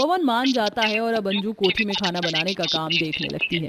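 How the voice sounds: A woman talks at a moderate pace in a medium pitch. Her tone is fairly bright, with ordinary pitch variation.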